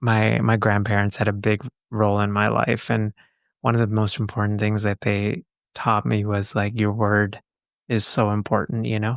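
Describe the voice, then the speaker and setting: The voice moves at a moderate pace with monotone, flat intonation and very even loudness, recorded dry and close with no echo on a very clean, silent background. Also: man, fairly low pitch for a man. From Texas. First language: not English. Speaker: psychologist and podcast host. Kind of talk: casual interview chat.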